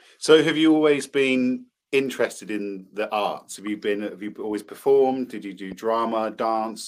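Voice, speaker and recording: In a southern English accent, the speaker talks at a moderate pace with ordinary pitch variation. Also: man. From England, Cambridge. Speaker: podcast co-host. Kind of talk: casual chat.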